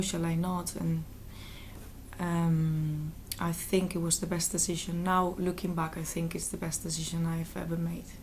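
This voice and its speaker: A woman's fairly low, somewhat breathy voice with a Spanish accent, flat monotone intonation and a fairly slow pace, amid audible room echo. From Valencia, Spain. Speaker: interviewee. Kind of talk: interview. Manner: halting.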